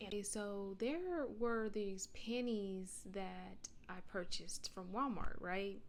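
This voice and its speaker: Audible room echo and noticeable background noise surround a woman speaking at a medium pitch with an American accent. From United States. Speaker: postal mail carrier, vlogger. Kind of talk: casual advice vlog. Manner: casual, conversational; loud.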